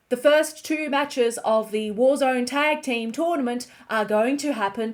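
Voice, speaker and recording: At a fairly slow pace, a woman with an Australian accent speaks in a high pitch with ordinary pitch variation. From Australia, Melbourne. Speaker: online show recap host. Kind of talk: show recap narration.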